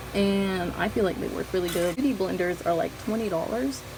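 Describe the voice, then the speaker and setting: Noticeable background noise accompanies a woman talking with a slight Southern US accent. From US South. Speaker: beauty vlogger. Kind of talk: makeup tutorial chat. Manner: casual, chatty.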